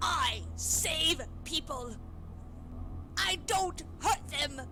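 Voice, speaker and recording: A woman talks very slowly in a put-on character voice. Background noise is clearly audible. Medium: video game. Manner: insistent.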